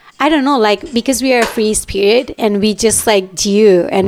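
A woman talks at a fairly quick pace in a medium pitch with ordinary pitch variation. Noticeable background noise runs behind her. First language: Japanese. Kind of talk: casual chat.

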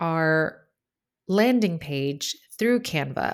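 A woman with an American accent uses a plain, everyday voice, fairly low in pitch with lively intonation. The recording is very clean and the background silent. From United States. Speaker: podcast host, branding photographer. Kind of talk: solo podcast monologue; casual interview chat.

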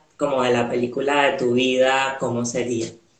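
Audible room echo hangs on the recording. The man speaks at a fairly slow pace. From Venezuela. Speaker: podcast host. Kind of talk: casual interview.

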